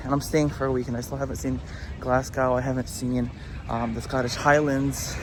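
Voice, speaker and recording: The delivery moves at a fairly quick pace. Noticeable background noise and audible room echo come through. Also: man. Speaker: travel vlogger. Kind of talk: casual travel vlog narration. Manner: animated; whispering.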